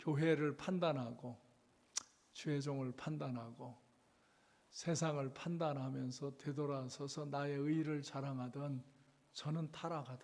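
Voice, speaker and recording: Speaking in a monotone, flat intonation, a man moves at a fairly slow pace with long, frequent pauses. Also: fairly high pitch for a man. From South Korea, Chungcheong (Cheonan). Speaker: revival preacher. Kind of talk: sermon. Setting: church. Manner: slow speech; halting.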